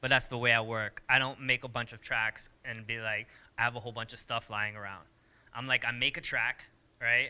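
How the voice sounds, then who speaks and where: A man with an American accent speaks at a medium pitch in a bright, sharp tone. His intonation is monotone and flat, while his loudness swings a lot. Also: fairly quick pace, very clean recording, silent background. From US Northeast, suburban Connecticut. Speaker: DJ and music producer. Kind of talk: casual interview. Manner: fast.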